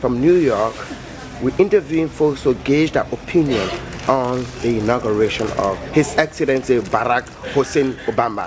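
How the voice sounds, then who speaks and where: A man with a medium pitch and ordinary pitch variation talks at a moderate pace as noticeable background noise goes on behind him. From West Africa. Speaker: street interviewer. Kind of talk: vox pop street interview.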